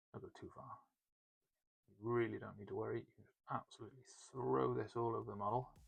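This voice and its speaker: A man with a British accent at a very fast pace, with long, frequent pauses and big swings in loudness. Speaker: miniature painting tutor. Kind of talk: tutorial. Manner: whispering, soft-spoken.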